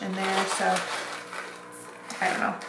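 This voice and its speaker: Noticeable background noise and audible room echo are present. Through them, a woman talks. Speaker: vlogger and hairdresser. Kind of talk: casual vlog tutorial. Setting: at home, kitchen. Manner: casual with many fillers; whispering.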